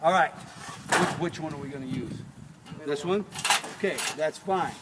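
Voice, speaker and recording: A man talks fairly slowly with lively intonation. Noticeable background noise runs underneath. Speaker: carpentry instructor. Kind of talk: hands-on tutorial. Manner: loud.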